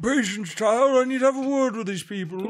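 A raspy, wheezy, put-on character voice from a man, extremely high-pitched and at a fairly quick pace.

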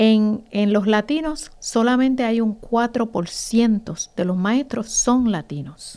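Very slowly, a woman speaks in a dark, mellow tone with ordinary pitch variation. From Puerto Rico, Ponce; Puerto Rico. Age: 50s. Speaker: teacher and association founder; teacher. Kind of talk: interview. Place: studio. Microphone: studio mic.

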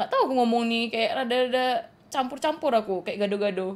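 Lively in intonation, a woman with a high voice speaks at a moderate pace. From Aceh, Indonesia. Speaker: gaming streamer. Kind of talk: live game stream commentary. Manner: casual, chatty.

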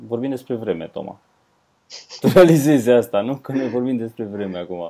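Against a quiet background, the voice moves at a moderate pace with lively intonation and big swings in loudness. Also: man. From Romania. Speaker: comedian, podcast co-host. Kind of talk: casual chat. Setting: remote call, at home, wearing headphones.

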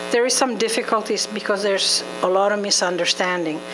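A woman is heard over noticeable background noise. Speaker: ADHD support group organizer. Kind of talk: community meeting presentation. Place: meeting room. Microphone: handheld.

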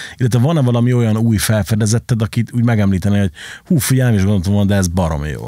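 Against a quiet background with dry sound and no echo, a man talks very fast with lively intonation in a dark, mellow tone. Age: 30s. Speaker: podcast host, club and record shop owner; podcast host. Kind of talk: casual chat. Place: studio. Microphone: studio mic.

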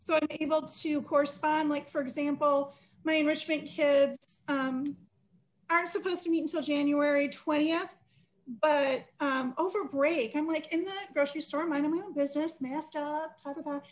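Speaking in an American accent, a woman with a high pitch keeps a moderate pace and fairly even intonation. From Michigan. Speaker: school librarian; school librarian or teacher. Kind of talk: casual chat. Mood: chatty, amused. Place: home room. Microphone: video call.

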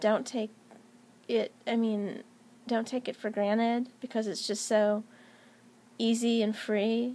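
A woman with a dark, mellow tone and an American accent, at a fairly slow pace. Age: 40s. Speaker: YouTuber and technology professional; YouTuber. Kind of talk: casual vlog monologue. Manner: hesitant with many fillers. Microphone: phone near.

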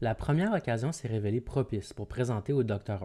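This man has a medium-pitched voice with a dark, mellow tone and lively intonation. The recording is very clean, with a silent background. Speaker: audiobook narrator. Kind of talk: literary audiobook reading of a historical report, formal and solemn, scripted narration. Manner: formal; slow, measured and even, deliberate pacing.

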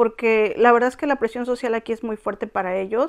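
Against a quiet background, a woman speaks at a fairly high pitch and a fairly quick pace. Her intonation is monotone and flat. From Mexico, Tampico; Mexico. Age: 40s. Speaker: Mexican immigrant wife in Korea; interviewee. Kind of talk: interview, personal story. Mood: reflective, earnest. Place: home room. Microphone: lapel.

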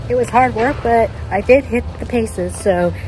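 A woman speaks over noticeable background noise. The sound is dry with no echo. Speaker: runner vlogger. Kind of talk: casual vlog chat. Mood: relieved, quietly confident. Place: street.

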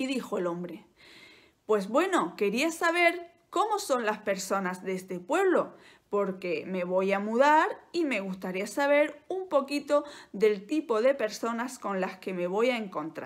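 Against a quiet background, a woman speaks fairly slowly with a fairly high pitch, very wide pitch swings and a gentle, dramatic tone. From Spain. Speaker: Spanish teacher and YouTuber. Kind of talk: bedtime-style storytelling, slow and soothing, told as a tale; casual educational monologue. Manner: slow, gentle, clearly articulated, with dramatic pauses and a warm, coaxing tone. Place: home room. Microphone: phone near.

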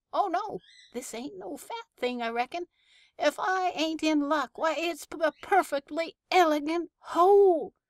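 A woman uses a put-on character voice in a rural American West accent, extremely high in pitch and delivered at a fairly slow pace. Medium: read story. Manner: chatty, folksy, growing exasperated.

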